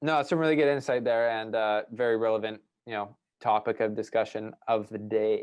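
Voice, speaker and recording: A man with an ordinary speaking voice, medium pitch and fairly even intonation, with a Canadian accent. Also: moderate pace. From British Columbia, Canada. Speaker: podcast host. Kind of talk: interview, casual chat.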